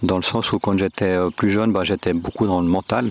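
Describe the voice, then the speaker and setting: Over a dry, close sound with no echo, a man with a very deep, low pitch talks at a moderate pace in a monotone, flat way. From Switzerland, Geneva. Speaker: podcast guest on spirituality. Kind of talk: reflective interview. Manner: hesitant, many fillers.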